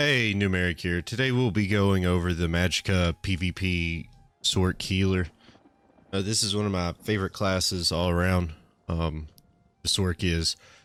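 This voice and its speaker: Over music in the background, a man with a very deep, low pitch talks at a moderate pace with fairly even intonation and very even loudness. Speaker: gaming video creator. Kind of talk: game build tutorial. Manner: casual, many filler words.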